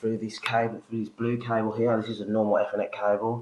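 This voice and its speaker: A man speaks over noticeable background noise. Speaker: DJ. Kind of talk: casual product demo to camera.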